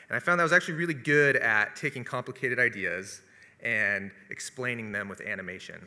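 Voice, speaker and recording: A man talks with lively intonation at a medium pitch. His tone is bright and sharp. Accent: West Coast. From US Pacific Northwest (Seattle area). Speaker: video producer and business owner. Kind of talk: testimony.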